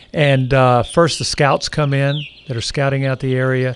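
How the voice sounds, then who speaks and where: A man at medium pitch, monotone and flat in intonation, at a moderate pace over noticeable background noise. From not from New Orleans. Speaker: professor and naturalist. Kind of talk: casual chat. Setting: in a car.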